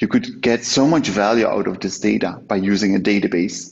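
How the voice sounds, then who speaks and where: A man's fairly low voice with vocal fry, at a moderate pace. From Belgium. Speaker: software company founder. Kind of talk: testimony.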